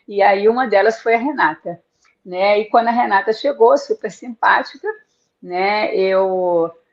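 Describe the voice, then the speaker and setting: Very slow speech from a woman, medium in pitch, with ordinary variation in pitch. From Rio de Janeiro, Brazil. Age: 60s. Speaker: author and tour guide. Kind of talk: interview on live book launch.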